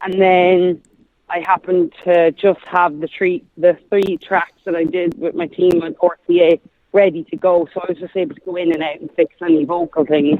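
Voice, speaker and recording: A woman with an Irish accent at a moderate pace, her pitch fairly low and her intonation fairly even. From Ireland. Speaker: singer-songwriter. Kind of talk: interview.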